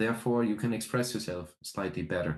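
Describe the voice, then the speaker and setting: Here a man speaks with a slight German accent. His pace is moderate and his pitch varies in an ordinary way. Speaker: metal band musician. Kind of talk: interview. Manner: hesitant, many fillers.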